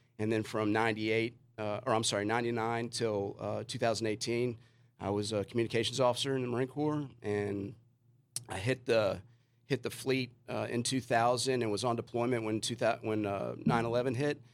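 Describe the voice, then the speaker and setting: At a fairly quick pace, a man with an American accent speaks at medium pitch in a monotone, flat intonation. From US South, Richmond, Virginia. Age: 40s. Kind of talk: podcast interview. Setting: studio.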